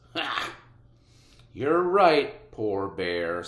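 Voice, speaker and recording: In a put-on character voice, a man speaks with a fairly low pitch. His pitch swings very widely. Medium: read story. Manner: wheedling.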